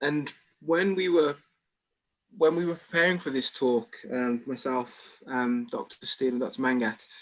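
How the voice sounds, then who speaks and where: At a moderate pace, a man with a fairly high pitch talks in a Birmingham accent. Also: ordinary pitch variation. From England, Birmingham. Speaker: doctor. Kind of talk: presentation. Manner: halting, many repeated words.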